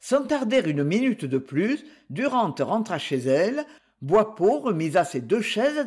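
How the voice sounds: Simply a natural reading voice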